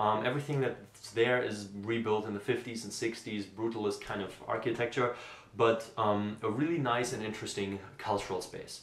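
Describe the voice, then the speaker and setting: Room echo is audible as a man with a German accent speaks at a medium pitch. His pace is moderate, with ordinary pitch variation. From Germany, Essen. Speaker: vlogger, graduate student. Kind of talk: unscripted vlog monologue. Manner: spontaneous, with fillers.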